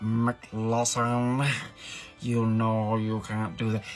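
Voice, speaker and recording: A low, put-on character voice drags along very slowly in a flat monotone, with clear music in the background. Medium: solo performance.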